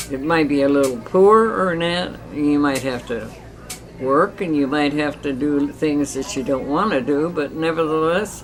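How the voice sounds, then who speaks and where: A woman with a very deep, low pitch and an American accent, at a fairly slow pace over noticeable background noise. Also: ordinary pitch variation. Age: 80s+. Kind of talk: interview answer.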